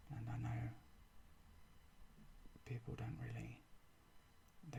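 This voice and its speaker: Soft-spoken, a man talks at a moderate pace. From England. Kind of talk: ASMR show and tell. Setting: home recording with microphone.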